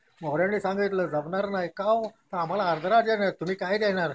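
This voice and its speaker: Background noise is noticeable behind a man's high-pitched voice. His intonation stays fairly even. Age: 80s+. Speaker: hereditary fort keeper and guide. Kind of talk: oral history told to visitors.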